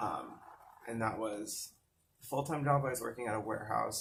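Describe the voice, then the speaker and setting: Fairly even intonation comes through alongside noticeable background noise and audible room echo. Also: man. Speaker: mental health vlogger. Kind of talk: personal storytelling. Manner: casual, hesitant.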